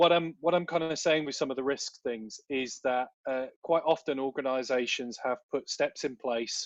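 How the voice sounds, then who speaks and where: Against a quiet background, a man with a British accent speaks at a fairly high pitch with fairly even intonation in a dry, close sound with no echo. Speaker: volunteer management consultant. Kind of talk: webinar Q&A answer. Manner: fast.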